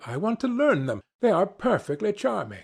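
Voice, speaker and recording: Very wide pitch swings and vocal fry mark this man's speech. The background is silent and the recording very clean. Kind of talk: audiobook reading.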